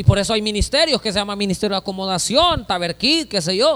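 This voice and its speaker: A man speaks in a bright, sharp tone with lively intonation. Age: 30s. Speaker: pastor. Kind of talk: sermon.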